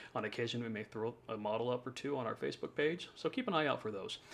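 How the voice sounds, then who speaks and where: Very fast speech comes from a man with a medium pitch and ordinary pitch variation. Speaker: home design drafter. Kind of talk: tutorial.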